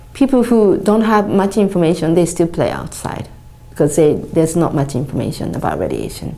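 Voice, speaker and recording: A woman with a Japanese accent speaks with lively intonation. Audible room echo and noticeable background noise surround her voice. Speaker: charity founder. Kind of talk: appeal for support. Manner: halting.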